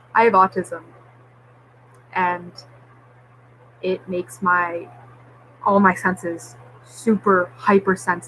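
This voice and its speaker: Speaking at a very slow pace with long, frequent pauses, a woman keeps a medium pitch and fairly even intonation. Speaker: vlogger. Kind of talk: personal vlog update. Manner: slurred at times.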